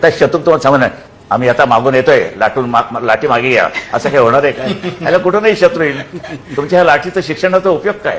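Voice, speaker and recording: A man talks in a fairly high voice, his intonation lively. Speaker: political leader giving interview. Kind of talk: interview answer, recalling childhood. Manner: blunt, sarcastic, emphatic.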